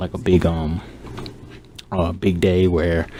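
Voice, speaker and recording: Quiet and very deep, a man's low-pitched voice comes through noticeable background noise. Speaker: gaming youtuber. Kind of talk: casual gaming advice talk. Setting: at home. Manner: monotone; subdued, keeping quiet.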